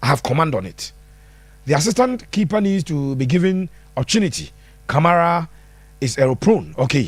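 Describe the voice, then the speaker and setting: In a Ghanaian accent, the speaker moves at a fairly quick pace, making very wide pitch swings and long, frequent pauses. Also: man, fairly high pitch for a man. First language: Twi. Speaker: football pundit. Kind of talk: live-stream football analysis answering viewer comments. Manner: animated.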